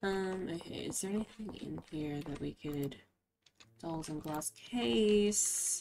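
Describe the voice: Slow and slightly mellow in tone, a woman speaks with vocal fry. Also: fairly low pitch for a woman, ordinary pitch variation.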